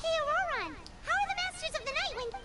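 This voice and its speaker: A squeaky, put-on character voice at an extremely high pitch and a very fast pace, with noticeable background noise. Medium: video game. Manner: chatty, blunt.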